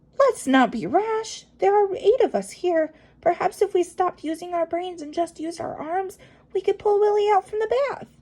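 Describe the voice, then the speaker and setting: A woman performs a put-on character voice at an extremely high pitch. Her intonation is lively and her pace moderate. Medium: read story.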